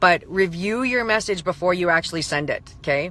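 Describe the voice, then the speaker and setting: A woman's fairly low-pitched voice, bright and sharp in tone, with ordinary pitch variation. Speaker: online coach. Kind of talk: live stream talk. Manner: fast; animated.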